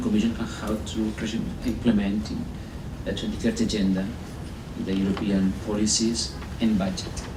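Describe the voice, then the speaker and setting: A man with a fairly low voice talks at a moderate pace amid noticeable background noise and audible room echo. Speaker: environmental policy advisor. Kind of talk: conference presentation. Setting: workshop with live audience. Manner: halting, many repetitions and fillers.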